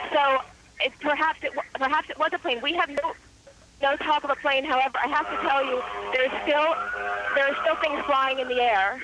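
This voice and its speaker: A woman at a high pitch, speaking at a fairly quick pace with fairly even intonation and long, frequent pauses, over noticeable background noise. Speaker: eyewitness caller. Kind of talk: live phone interview. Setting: phone call. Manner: halting, stuttering.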